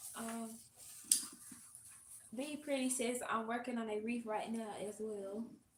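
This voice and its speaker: With a Southern US accent, a woman speaks at a fairly slow pace with fairly even intonation and long, frequent pauses, and audible room echo can be heard. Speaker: host's assistant. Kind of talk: reading viewer comments aloud. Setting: livestream.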